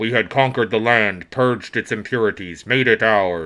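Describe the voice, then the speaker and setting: In a put-on character voice, a man rumbles at a medium pitch against a quiet background. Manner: bleak.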